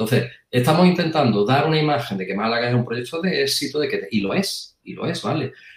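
Somewhat breathy, a man speaks with a fairly high pitch that swings very widely. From Andalusia, Puente Genil (Córdoba). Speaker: English teacher. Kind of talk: casual debate.

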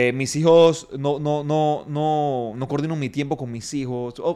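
A man with an ordinary speaking voice, fairly high-pitched, with ordinary pitch variation and a fairly slow pace. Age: 30s. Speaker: fitness coach and gym owner. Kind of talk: interview.

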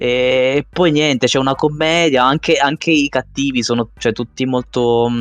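It is a normal speaking voice with ordinary pitch variation and a fairly slow pace. The background is quiet. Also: man. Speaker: podcast co-host. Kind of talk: casual chat.

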